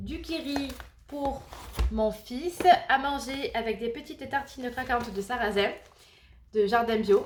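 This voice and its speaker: A woman's high-pitched voice at a very slow pace, with ordinary pitch variation, long, frequent pauses and noticeable background noise. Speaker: family vlogger. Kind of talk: casual vlog. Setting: home kitchen.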